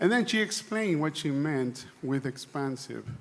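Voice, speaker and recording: With a non-native accent, a man talks at a fairly slow pace and with ordinary pitch variation. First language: not English. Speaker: church delegate. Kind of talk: assembly floor speech. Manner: halting, repeats words.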